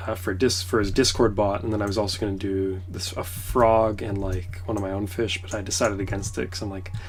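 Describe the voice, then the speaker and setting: This quiet voice moves at a fairly quick pace with fairly even intonation, with audible room echo and music in the background. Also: man. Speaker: pixel art streamer. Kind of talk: casual livestream commentary. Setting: in a trailer on a trip.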